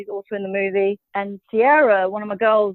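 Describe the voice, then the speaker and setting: A woman's medium-pitched voice in a British accent, at a fairly quick pace. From Britain. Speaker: actress. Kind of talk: casual interview. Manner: hesitant, lots of fillers.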